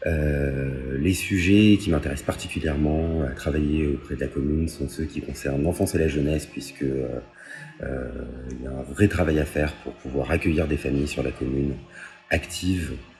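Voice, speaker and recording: Against noticeable background noise, a man with a very deep, low pitch talks at a moderate pace with fairly even intonation. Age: 30s. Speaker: municipal election candidate. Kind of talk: candidate self-presentation. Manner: halting, many hesitations.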